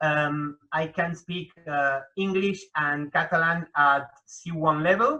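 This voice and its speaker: A man with a Spanish accent speaks at a very slow pace, with hardly any pauses. His tone is bright and sharp, and his intonation fairly even. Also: fairly high pitch for a man. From Argentina, Buenos Aires. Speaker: hyperpolyglot, association director. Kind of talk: interview.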